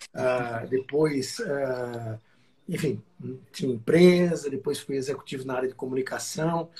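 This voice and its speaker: Somewhat breathy with a dark, mellow tone, a man speaks at a fairly slow pace and medium pitch with ordinary pitch variation. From Brazil, Northeast (Alagoas). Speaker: company president, franchise executive. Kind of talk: interview. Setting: live stream.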